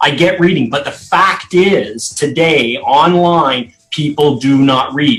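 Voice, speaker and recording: Over music in the background, a man with a fairly high pitch speaks at a very slow pace with hardly any pauses and ordinary pitch variation. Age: 60s. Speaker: legal marketing business owner. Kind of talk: live interview. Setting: live video stream. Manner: animated.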